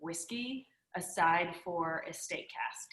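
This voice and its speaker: A woman with an American accent, a medium pitch and ordinary pitch variation. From USA. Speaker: whiskey distiller, brand founder. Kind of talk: interview.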